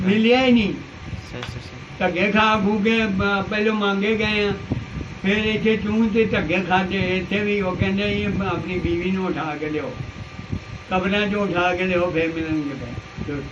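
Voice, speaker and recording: Amid noticeable background noise, a man with a high pitch speaks with ordinary pitch variation. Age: 60s. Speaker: village elder. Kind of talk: interview answer. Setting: outdoors, village.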